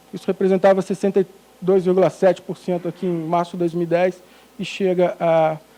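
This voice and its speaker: In a dark, mellow tone, a man speaks with a high pitch and monotone, flat intonation. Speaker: economic research director presenting survey results. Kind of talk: presentation of statistics. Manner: hesitant with many fillers.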